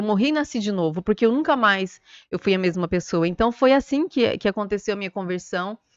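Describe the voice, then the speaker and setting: A woman's fairly high voice with ordinary pitch variation, in a dry, close sound with no echo. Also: quiet background. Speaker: lawyer. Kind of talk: testimony. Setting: studio. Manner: fast.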